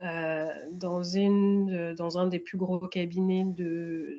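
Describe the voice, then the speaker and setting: With fairly even intonation and a dark, mellow tone, a woman speaks very slowly at a medium pitch. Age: 30s. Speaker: tax specialist, interviewee in career counselling. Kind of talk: mock career counselling interview. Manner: halting, many hesitations.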